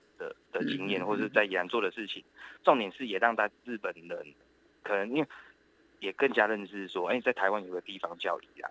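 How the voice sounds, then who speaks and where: Fairly low-pitched male voice at a fairly quick pace, with ordinary pitch variation and big swings in loudness. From Taiwan, Yilan. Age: 30s. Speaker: entrepreneur, startup accelerator founder. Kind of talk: radio interview. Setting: remote line into radio show. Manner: halting, many fillers.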